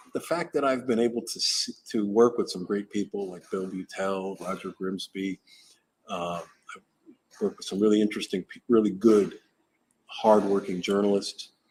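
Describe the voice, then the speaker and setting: A man's ordinary speaking voice, fairly low in pitch, with an American accent, a moderate pace, ordinary pitch variation and big swings in loudness. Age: 60s. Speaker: retired TV news camera operator. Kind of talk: interview.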